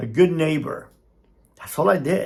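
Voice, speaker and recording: With a Cuban-American accent, a man speaks at a moderate pace in a high pitch with ordinary pitch variation. Room echo is audible. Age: 60s. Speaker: motivational speaker, former cartel member. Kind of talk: opinion monologue. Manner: animated.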